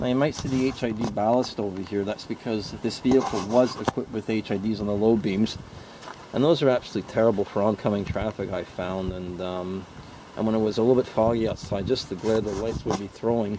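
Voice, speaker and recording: With fairly even intonation and a fairly low pitch, a man is heard in a dry sound with no echo, though noticeable background noise comes through. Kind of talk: tutorial. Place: open country.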